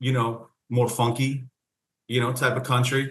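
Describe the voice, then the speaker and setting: Somewhat breathy, a man's medium-pitched voice moves at a fairly quick pace with ordinary pitch variation. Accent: Philadelphia. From Philadelphia suburbs, Pennsylvania. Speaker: country singer. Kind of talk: casual interview.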